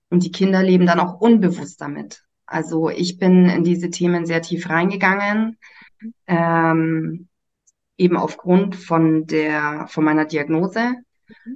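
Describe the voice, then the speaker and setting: A fairly low-pitched woman at a fairly slow pace, with fairly even intonation and big swings in loudness. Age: 30s. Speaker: nursery teacher and human design coach trainee. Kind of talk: casual chat. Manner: hesitant, many fillers.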